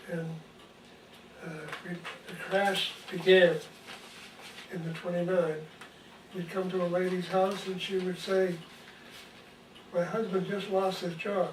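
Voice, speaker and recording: A man with an American accent talks at a fairly slow pace, flat and monotone, with long, frequent pauses. Audible room echo and noticeable background noise fill the recording. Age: 80s+. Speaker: retired nursery owner. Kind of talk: interview. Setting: at home.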